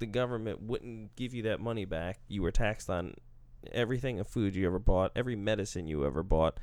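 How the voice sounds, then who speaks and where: In a very clean recording with a silent background, a man with a medium pitch and ordinary pitch variation has an unremarkable speaking voice. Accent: American. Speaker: podcast host. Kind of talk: casual chat. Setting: studio.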